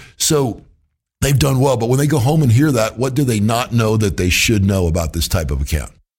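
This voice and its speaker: Speaking at a fairly quick clip with very wide swings in pitch, this somewhat breathy voice holds a very even loudness on a very clean recording with a silent background. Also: man, medium pitch for a man. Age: 50s. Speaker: financial advisor and podcast host. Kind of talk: casual interview.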